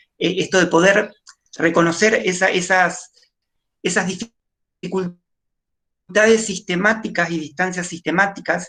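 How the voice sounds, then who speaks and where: Pausing often and at length, a woman talks at medium pitch with fairly even intonation. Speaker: nurse. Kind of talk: panel talk. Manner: fast; hesitant with fillers.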